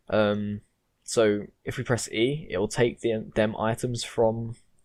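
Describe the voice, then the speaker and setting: On a very clean recording with a silent background, a man is speaking. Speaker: gaming youtuber. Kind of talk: gameplay commentary.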